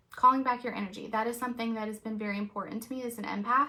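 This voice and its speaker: Her voice sits fairly high for a woman and carries a bright, sharp tone. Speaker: reiki master and energy healer. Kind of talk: live stream talk. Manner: fast; animated.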